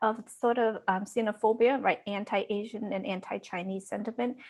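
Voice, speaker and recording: Against a quiet background, a woman talks at a moderate pace in a plain, everyday voice, her pitch medium. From Vermont, US (Lao immigrant from age six). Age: 40s. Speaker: education professor. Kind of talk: panel discussion.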